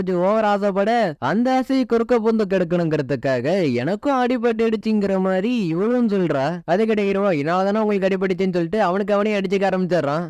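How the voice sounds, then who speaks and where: This man talks with a high pitch that varies in an ordinary way. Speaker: story narrator. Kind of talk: anime story explanation. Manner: casual, chatty.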